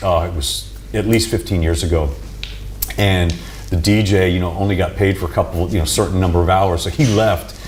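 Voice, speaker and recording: A man's very deep, low voice, fairly quick, with ordinary pitch variation and noticeable background noise. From New York. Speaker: boxing ring announcer. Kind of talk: interview answer.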